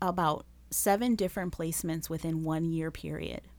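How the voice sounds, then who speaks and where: A woman with a Spanish accent, fairly low pitch and fairly even intonation, on a very clean recording with a silent background. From Las Vegas, Nevada. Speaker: nonprofit founder, anti-trafficking advocate. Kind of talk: interview.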